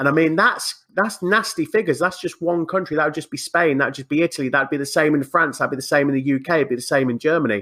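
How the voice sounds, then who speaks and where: Talking at a very fast pace with hardly any pauses, a man uses a bright, sharp tone at a fairly high pitch with ordinary pitch variation. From England. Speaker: podcast guest. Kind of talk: casual chat. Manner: animated.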